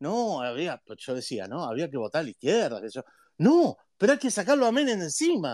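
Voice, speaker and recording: A man's voice with very wide pitch swings. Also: dry, close sound with no echo. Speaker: economist, university professor. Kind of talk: online talk with Q&A. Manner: long-winded, talks at length.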